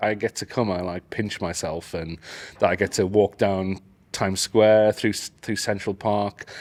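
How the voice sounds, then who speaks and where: On a very clean recording with a silent background, a man with a Geordie accent speaks at a moderate pace and a fairly low pitch. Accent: northern English (Geordie), clearly audible. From northeast England, Newcastle. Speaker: AI educator. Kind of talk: casual interview. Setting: at a conference.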